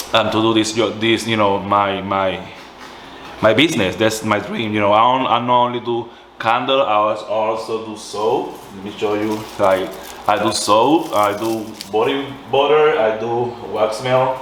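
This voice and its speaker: A man with a strong Puerto Rican accent speaks at a medium pitch, fairly slowly and with fairly even intonation, over noticeable background noise and audible room echo. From Puerto Rico. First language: Spanish. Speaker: small business owner, candle maker. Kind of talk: tutorial. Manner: halting, self-correcting.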